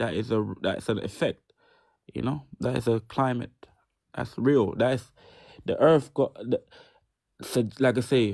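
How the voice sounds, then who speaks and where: A man speaks at a fairly slow pace with vocal fry, leaving long, frequent pauses against a quiet background. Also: medium pitch for a man, ordinary pitch variation. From UK, Jamaican-born. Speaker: live-stream host. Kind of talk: casual chat. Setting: live stream. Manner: halting, many repetitions.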